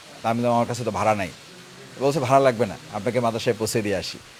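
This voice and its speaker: A man with a medium pitch and ordinary pitch variation is heard against noticeable background noise. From Bangladesh, Patuakhali (Bauphal). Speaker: politician, parliamentary candidate. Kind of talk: interview.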